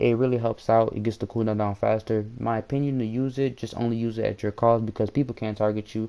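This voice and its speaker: Hardly pausing at all, a man races at a very fast pace in a monotone, flat delivery. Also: medium pitch for a man. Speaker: gaming youtuber. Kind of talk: gameplay tutorial. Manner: stutters often; casual, hesitant.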